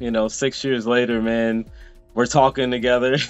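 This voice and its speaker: Faint music sits in the background as a man talks in a monotone, flat intonation. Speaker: interview host. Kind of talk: interview intro. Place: home room. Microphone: video call.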